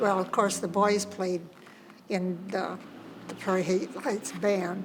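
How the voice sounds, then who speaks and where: Medium in pitch, a woman talks at a fairly slow pace. Noticeable background noise and audible room echo surround her voice. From US Midwest, Indiana. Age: 80s+. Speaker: grandmother interviewee. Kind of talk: casual chat. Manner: halting.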